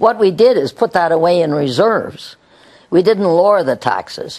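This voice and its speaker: A woman's fairly low voice with a Canadian accent, vocal fry and lively intonation. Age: 80s+. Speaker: mayor. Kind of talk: interview answer.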